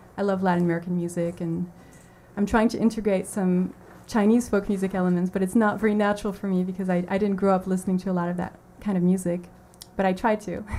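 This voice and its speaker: At a very fast pace, a woman speaks at a medium pitch in a dark, mellow tone with monotone, flat intonation. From France (born in US, moved at three). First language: French (spoken most growing up). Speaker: singer-songwriter. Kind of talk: radio interview. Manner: hesitant, many fillers.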